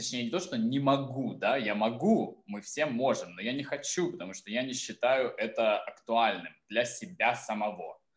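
This is an unremarkable speaking voice with lively intonation, moving at a moderate pace. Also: man, medium pitch for a man. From southern Russia. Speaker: photographer and drag artist. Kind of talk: casual interview chat.

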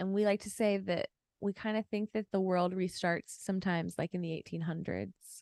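A woman's medium-pitched, monotone, flat delivery at a moderate pace, dry and close with no echo. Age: 30s. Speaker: lawyer and online personality. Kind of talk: casual chat. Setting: video call. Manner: more confident than before.

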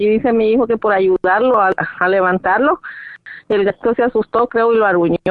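A woman with a fairly high pitch and an ordinary speaking voice talks at a fairly quick pace with ordinary pitch variation. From Latin America. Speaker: caller. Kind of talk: phone-in question.

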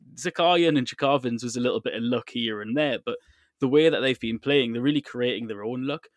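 The speaker goes at a very fast pace with ordinary pitch variation. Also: man. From England. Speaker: podcast host. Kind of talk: casual chat.

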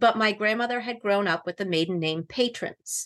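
Against a quiet background, a woman speaks at a medium pitch in a bright, sharp tone. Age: 50s. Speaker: novelist. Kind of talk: interview.

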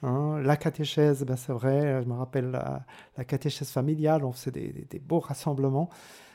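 A man speaks at a moderate pace in a fairly high voice with a dark, mellow tone. His intonation is flat and monotone, and the recording is very clean with a silent background. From Switzerland, Fribourg canton (Rue). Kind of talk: radio interview about vocation. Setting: radio studio. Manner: halting, many repetitions.

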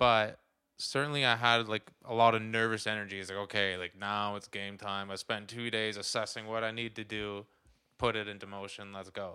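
This man has a Canadian accent and a fairly low, bright, sharp voice, speaking at a moderate pace with monotone, flat intonation over a silent background in a very clean recording. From Ottawa, Canada. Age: 20s. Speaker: real estate agent. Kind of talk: interview.

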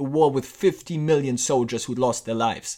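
A man's moderately paced speech comes through on a very clean recording with a silent background. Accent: German. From Germany. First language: German. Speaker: podcast host. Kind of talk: scripted narration.

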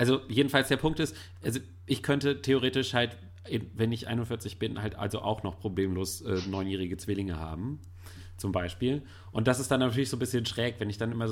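In a very clean recording with a silent background, a man with an unremarkable speaking voice talks at a moderate pace, with a fairly low pitch and ordinary pitch variation. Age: 30s. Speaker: film blogger. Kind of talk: casual chat.

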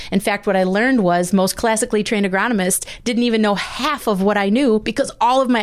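A woman with an American accent speaks at a very fast pace, her loudness very even and her pitch medium with ordinary variation. She hardly pauses, and noticeable background noise sits behind her. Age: 40s. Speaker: agronomy consultant. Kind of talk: casual interview. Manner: fast talker.

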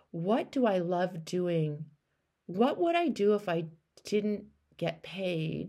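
Long, frequent pauses break up a very slow delivery with a dark, mellow tone and ordinary pitch variation. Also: woman, medium pitch for a woman. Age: 50s. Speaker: life coach and podcast host. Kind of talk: coaching call. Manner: animated.

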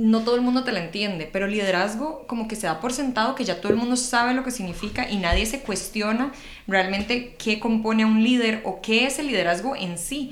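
A woman's fairly high voice at a fairly quick pace, with ordinary pitch variation, audible room echo and noticeable background noise. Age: 20s. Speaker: public speaking coach, podcast co-host. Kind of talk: casual chat.

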